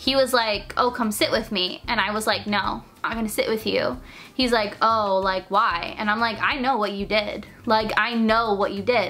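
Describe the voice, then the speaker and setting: Bright and sharp in tone, a woman's fairly high voice moves at a moderate pace. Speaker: youtuber. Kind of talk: storytelling. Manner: animated.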